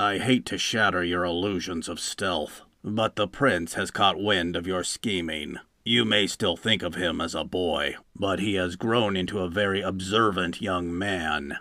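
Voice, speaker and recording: Growling in a put-on character voice, a man speaks at a moderate pace with a very deep, low pitch and fairly even intonation. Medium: read story. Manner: dry, frank, faintly ironic.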